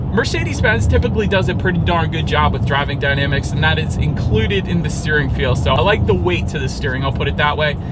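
A man talking very fast over loud background noise, the sound dry with no echo. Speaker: car reviewer. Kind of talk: review commentary. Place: car.

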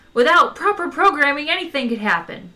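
A loud, put-on character voice from a woman, high-pitched with big pitch swings, a bright, sharp tone and a fairly quick pace

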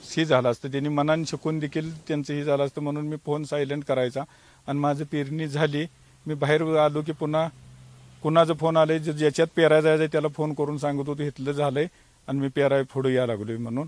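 Flat and monotone, a man's fairly high voice comes through dry with no echo. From Maharashtra, Sangli district (Tasgaon); Maharashtra. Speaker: farmer. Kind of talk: interview testimony. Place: farm.

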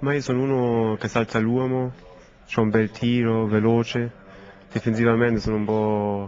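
A man speaks in a flat, monotone way with long, frequent pauses. Light background noise sits behind him. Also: moderate pace. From Germany. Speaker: footballer. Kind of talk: interview. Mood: calm, slightly sweaty post-match. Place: hall.

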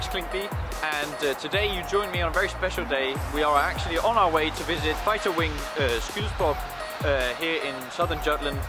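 A man at a fairly quick pace, dry sound with no echo, clear music in the background. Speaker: racing driver vlogger. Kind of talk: casual vlog chat. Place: street. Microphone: phone near.

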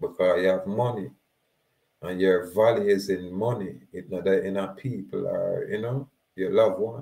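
At a moderate pace, a man speaks with a Jamaican accent. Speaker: activist. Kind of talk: monologue lecture with legal readings. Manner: exhortative.

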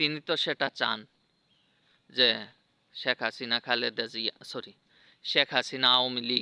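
A man has an ordinary speaking voice at medium pitch. His intonation is fairly even. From Bangladesh, Mymensingh district. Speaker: political commentator vlogger. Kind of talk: unscripted monologue. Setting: outdoors.

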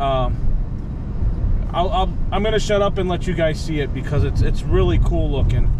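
A moderate pace, with noticeable background noise and a dry sound free of echo. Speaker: driver vlogger. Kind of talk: casual vlog chat. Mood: relaxed, admiring sunset. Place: car. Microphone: phone near.

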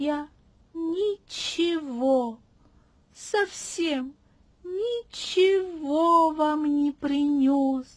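A put-on character voice, high-pitched, moves along at a very slow pace.

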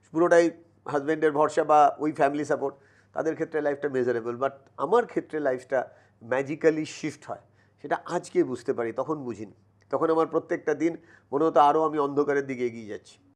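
Against a quiet background, a man talks at a fairly high pitch with ordinary pitch variation. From West Bengal, Kanchrapara; West Bengal. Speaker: mental toughness trainer; podcast guest, mental toughness trainer. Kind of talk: motivational interview. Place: studio. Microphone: lapel.

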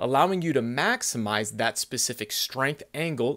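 The speaker's intonation is lively, at a moderate pace. The background is quiet. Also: man. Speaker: fitness coach. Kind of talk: tutorial. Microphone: phone near.

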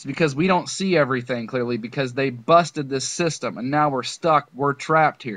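Fairly quick and fairly high-pitched, a man speaks with an ordinary speaking voice, ordinary pitch variation and big swings in loudness. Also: dry, close sound with no echo. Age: 30s. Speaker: conspiracy video creator. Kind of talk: video monologue. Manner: rambling run-on delivery with fillers.

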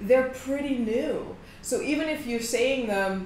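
A woman's very slow speech with audible room echo and light background noise. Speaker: mindset coach. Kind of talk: direct-to-camera coaching talk. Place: office. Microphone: phone near.

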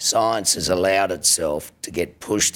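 This man talks at a moderate pace with an Australian accent. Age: 50s. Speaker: government minister. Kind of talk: political speech. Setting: stage with audience. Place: hall. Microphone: podium.

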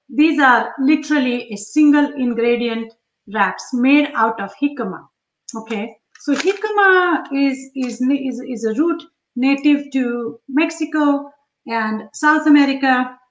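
In a room with audible echo but a quiet background, a woman speaks at a fairly slow pace in a high voice with ordinary pitch variation. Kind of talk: live cooking tutorial chat. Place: kitchen. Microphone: webcam.

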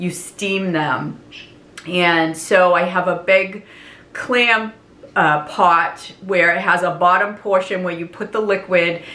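Her voice sits at a fairly low pitch as this woman speaks at a very slow pace with fairly even intonation. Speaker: home cooking vlogger. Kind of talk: casual vlog chat. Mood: warm nostalgic. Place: kitchen. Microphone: camera far.

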